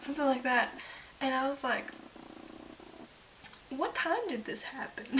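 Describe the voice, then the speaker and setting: A woman whispers quietly in a tired tone at a moderate pace, with noticeable background noise. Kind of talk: casual talk to camera. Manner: whispered, quiet, tired.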